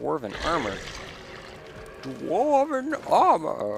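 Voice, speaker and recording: A man drags his words out very slowly in a put-on character voice. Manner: goofy.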